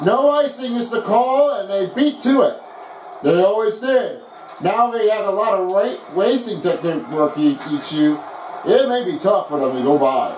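There is noticeable background noise as a man speaks at a moderate pace. His voice is high-pitched and swings very widely in pitch. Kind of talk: live commentary of a video game hockey match.

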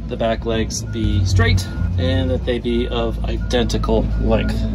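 A man speaks at a fairly slow pace while clear music plays behind him. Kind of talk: tutorial. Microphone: phone near.

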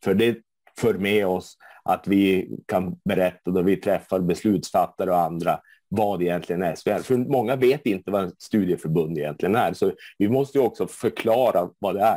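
A man with a fairly low pitch and a dark, mellow tone speaks at a moderate pace with ordinary pitch variation, the sound dry with no echo and the background quiet. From Sweden, Luleå (Norrbotten); Sweden. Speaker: board candidate, party official; candidate. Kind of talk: interview answers. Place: home room. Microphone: earbuds.

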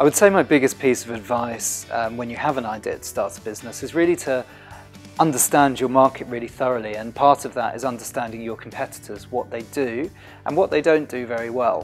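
A man speaks at a very fast pace with big swings in loudness. Faint music plays in the background. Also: ordinary pitch variation. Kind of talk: interview answer. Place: office.

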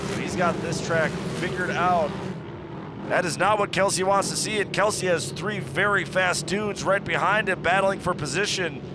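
Over noticeable background noise, a man with a high pitch talks in an animated tone. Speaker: race commentator. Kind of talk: live race commentary. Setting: race track broadcast. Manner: animated, fast-paced play-by-play; excitable, urgent, with casual banter.

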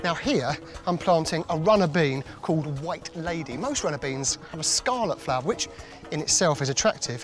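A man talks at a moderate pace in a dry sound with no echo. Clear music plays in the background. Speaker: presenter. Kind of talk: tutorial. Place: garden. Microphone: lapel.

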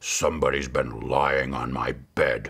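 Using a put-on character voice, a man growls in a gruff, very deep, low tone at a fairly slow pace. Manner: growling.

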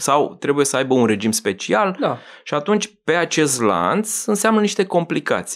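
A man with vocal fry speaks at a moderate pace, his pitch swinging very widely while his loudness stays very even against a quiet background. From Romania, Bucharest. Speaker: business magazine editor; podcast guest. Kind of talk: casual interview. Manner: halting, many fillers. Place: studio. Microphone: studio mic.

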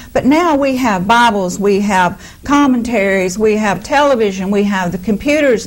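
An unremarkable speaking voice comes at a moderate pace. The intonation is lively. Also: woman. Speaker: minister. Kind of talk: sermon conversation.

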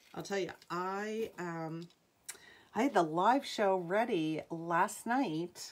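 An upbeat woman's voice in an American accent, with ordinary pitch variation and light background noise. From New England. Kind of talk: live sales stream. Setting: home livestream. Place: home room. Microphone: phone near.

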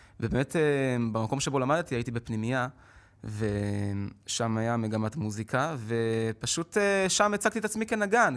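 Very wide pitch swings from a man, against a quiet background. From Israel. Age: 20s. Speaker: street musician and singer; guest. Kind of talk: interview. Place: studio. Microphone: podium.

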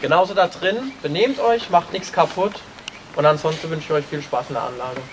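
Over light background noise, a man with a high pitch speaks at a fairly quick pace. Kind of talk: briefing to a tour group. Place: open country. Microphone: camera far.

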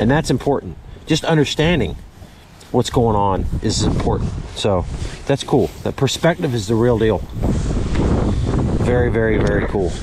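A man's voice at a moderate pace, with long, frequent pauses, noticeable background noise and a dry sound with no echo. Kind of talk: casual vlog commentary. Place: boat. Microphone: phone near.

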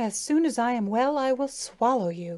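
A woman puts on a character voice with a high pitch and a hissing sound. She keeps a moderate pace. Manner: hissing, menacing.

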